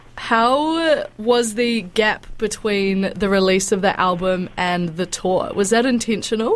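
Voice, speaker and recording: Noticeable background noise runs under a woman who talks at a very slow pace with hardly any pauses and ordinary pitch variation. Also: fairly high pitch for a woman. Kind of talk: radio interview. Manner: warm, enthusiastic.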